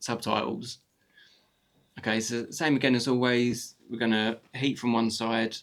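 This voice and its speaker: Medium-pitched male voice, flat and monotone, at a fairly slow pace. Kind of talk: tutorial. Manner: casual, with many fillers and restarts.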